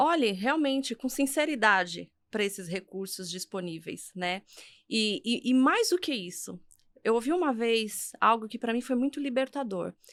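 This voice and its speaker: In a Brazilian accent, a woman speaks at a fairly slow pace with a fairly high pitch and lively intonation. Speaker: career and leadership coach. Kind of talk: podcast interview.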